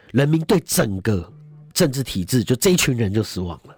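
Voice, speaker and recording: A man talks at a medium pitch and moderate pace. His voice is somewhat breathy, with very wide pitch swings. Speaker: Taipei city councillor. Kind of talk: political talk show interview.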